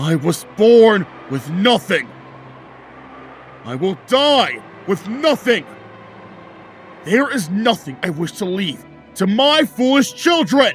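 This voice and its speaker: Against clear background noise, a man does a put-on character voice at a fairly slow pace, high in pitch with very wide pitch swings. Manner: shouting, furious.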